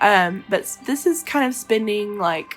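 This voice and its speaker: A woman's voice over music in the background. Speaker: web designer. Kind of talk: casual talk to camera.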